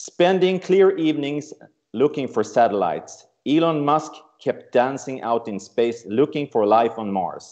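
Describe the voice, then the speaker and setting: A man with an ordinary speaking voice and fairly high pitch talks at a fairly slow pace with lively intonation. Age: 60s. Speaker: travel company CEO. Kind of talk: prepared speech.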